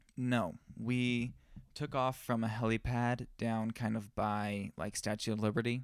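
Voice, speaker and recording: With a plain, everyday voice, a man speaks at a medium pitch and a fairly slow pace, his intonation fairly even, on a very clean recording with a silent background. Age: young. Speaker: wedding photographer and podcast co-host. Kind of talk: casual chat. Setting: studio.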